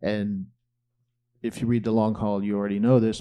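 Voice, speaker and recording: A man speaks with a dark, mellow tone at a fairly low pitch. The background is quiet. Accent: American. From Greenwich, Connecticut, US Northeast. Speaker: author. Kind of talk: audience Q&A. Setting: live bookstore event with audience.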